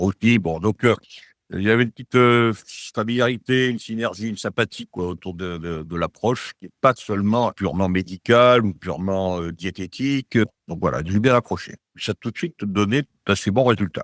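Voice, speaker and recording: A man's fairly low voice at a moderate pace with ordinary pitch variation, dry and close with no echo, on a very clean recording with a silent background. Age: 60s. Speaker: program participant giving testimonial, engineer. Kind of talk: testimony. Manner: halting, many hesitations and repetitions.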